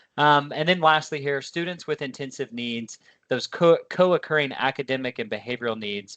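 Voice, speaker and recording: A man's dry, close-miked voice with no echo, ordinary pitch variation, and a quiet background. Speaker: education consultant. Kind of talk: webinar presentation. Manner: fast.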